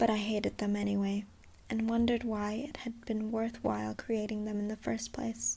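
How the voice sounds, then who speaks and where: Soft-spoken and somewhat breathy, a woman talks at a moderate pace in a fairly high pitch with a dark, mellow tone and monotone, flat intonation. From Taiwan. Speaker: freelance voiceover artist. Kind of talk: ASMR audiobook reading. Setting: close microphone.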